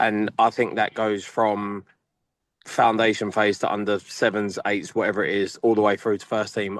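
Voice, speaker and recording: Moderate pace from a man with an English accent and fairly low pitch, over a quiet background. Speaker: academy football coach. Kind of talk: panel discussion. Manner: loud; animated.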